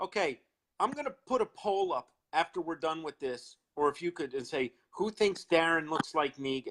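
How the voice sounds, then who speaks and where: A man with a Long Island accent talks at a moderate pace in a high pitch with lively intonation, the sound dry and close with no echo. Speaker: horror fan co-host. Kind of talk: casual chat on live video stream. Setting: live video chat.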